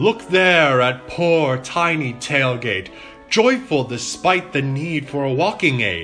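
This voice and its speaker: Using a put-on character voice, a man talks at a fairly slow pace and fairly high pitch over clear music in the background. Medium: audio drama. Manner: chummy, teasing.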